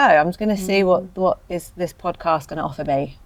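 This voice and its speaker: Moderately paced female speech amid noticeable background noise. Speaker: podcast host. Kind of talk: conversational podcast interview.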